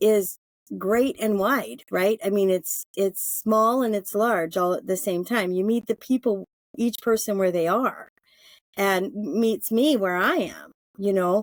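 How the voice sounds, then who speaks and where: In a dry, close recording with no echo, a woman of medium pitch speaks at a fairly slow pace with very even loudness and ordinary pitch variation. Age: 60s. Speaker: yoga therapist and herbalist. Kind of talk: casual interview chat. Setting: podcast interview. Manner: halting, many fillers and restarts.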